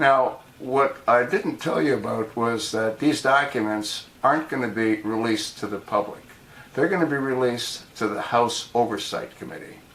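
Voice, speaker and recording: A man with an American accent speaks at a moderate pace and a medium pitch, with ordinary pitch variation. Noticeable background noise runs under his voice. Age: 70s. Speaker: political video blogger. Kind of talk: political commentary monologue. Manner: animated.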